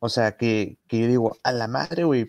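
Dry, close sound from a man with no echo, very clean and against a silent background. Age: 30s. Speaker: barbecue enthusiast and competition judge. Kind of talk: casual chat. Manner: halting, many repetitions and fillers.

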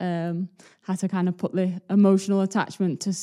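Over a silent background in a very clean recording, a woman talks at a fairly quick pace with a medium pitch, a dark, mellow tone and flat, monotone intonation. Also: dry, close sound with no echo. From Leeds, Yorkshire. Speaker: professional footballer. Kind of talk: casual interview.

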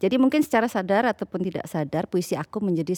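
A woman speaks at medium pitch with very wide pitch swings. The sound is dry and close with no echo, on a very clean recording with a silent background. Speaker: Balinese dancer and poet. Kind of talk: casual chat.

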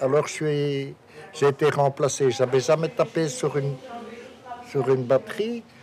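A man talks at a very slow pace while noticeable background noise carries on around him. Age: 70s. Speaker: retired musician. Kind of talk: casual chat.

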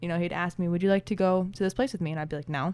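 With an American accent, a woman speaks in a plain, everyday voice with a fairly low pitch and fairly even intonation, recorded very cleanly against a silent background. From small country town, US. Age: 20s. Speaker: stay-at-home mother. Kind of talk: interview.

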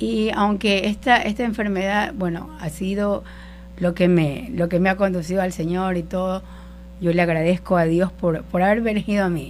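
A woman at medium pitch, moderate in pace, with ordinary pitch variation. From Ecuador, coastal Guayas province. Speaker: church worship volunteer. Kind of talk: personal faith testimony. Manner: halting.

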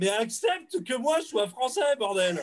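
A man speaks at a fairly slow pace. His voice sits high in pitch. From France. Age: 30s. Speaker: audiovisual rental business owner. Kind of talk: casual chat.

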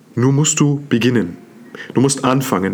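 A man speaks at a fairly slow pace in an animated tone, with noticeable background noise. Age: 30s. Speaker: self-development podcast host. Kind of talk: motivational monologue.

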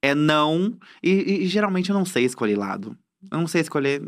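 In a very clean recording with a silent background, a man with a fairly high pitch and a normal speaking voice uses lively intonation. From Cuiabá, Mato Grosso, Brazil. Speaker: content creator and comedian. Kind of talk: casual interview chat. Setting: studio.

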